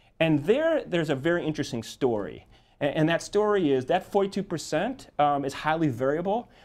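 A man with a fairly high voice speaks at a moderate pace. His intonation is lively. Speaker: polling firm executive. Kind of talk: TV interview. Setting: TV studio. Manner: halting, many fillers and repetitions. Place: studio. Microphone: lapel.

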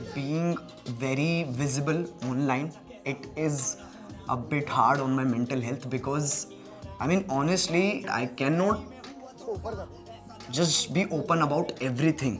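Over clear background music, a man speaks at a fairly slow pace with long, frequent pauses and ordinary pitch variation. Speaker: online video creator. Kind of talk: interview answer. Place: home room.

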